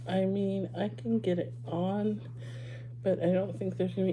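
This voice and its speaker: A woman talks at a moderate pace, with audible echo from the room. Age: 60s. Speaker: lifestyle vlogger. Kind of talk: casual haul video. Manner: conversational with many fillers.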